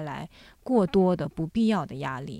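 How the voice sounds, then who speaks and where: A woman's unremarkable speaking voice with lively intonation at a fairly slow pace, very cleanly recorded against a silent background. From Jiangsu, China (born in Shanghai). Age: 30s. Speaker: children's book editor and podcast host. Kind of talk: casual interview chat.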